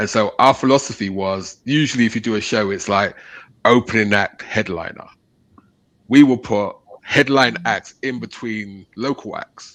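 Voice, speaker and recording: Over a quiet background, a man with a British accent speaks at a moderate pace and fairly low pitch with ordinary pitch variation. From England. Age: 50s. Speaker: radio station owner. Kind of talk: casual chat.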